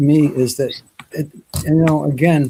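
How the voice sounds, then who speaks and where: A man talks with a fairly high pitch and a dark, mellow tone. His voice is somewhat breathy. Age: 70s. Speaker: live show host. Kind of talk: casual chat.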